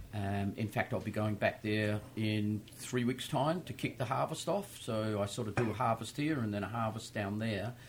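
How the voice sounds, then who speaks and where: Man with an Australian accent, fairly low pitch, ordinary pitch variation, a moderate pace and hardly any pauses. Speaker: winemaker. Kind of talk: casual chat. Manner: uses many filler 'um's.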